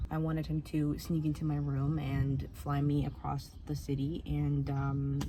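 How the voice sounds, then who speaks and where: Audible room echo and noticeable background noise surround this voice. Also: woman. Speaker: youtuber. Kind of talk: casual vlog monologue. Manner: animated.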